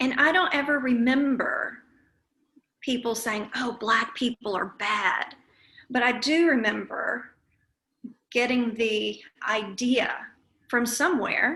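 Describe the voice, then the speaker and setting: A woman with a Southern US accent speaks at a very slow pace and a high pitch, with ordinary pitch variation. She leaves long, frequent pauses. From East Texas. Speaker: discussion group participant. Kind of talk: group discussion. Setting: video call.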